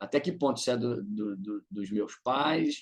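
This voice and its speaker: Medium-pitched male speech at a moderate pace. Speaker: psychoanalyst presenting in supervision group. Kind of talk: online group presentation. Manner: hesitant, many repetitions.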